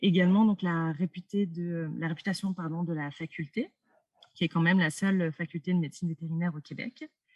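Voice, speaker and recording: A woman with a fairly low, somewhat breathy voice speaks at a fairly quick pace in fairly even intonation. The sound is dry and close, with no echo. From France. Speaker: doctoral student. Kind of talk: interview.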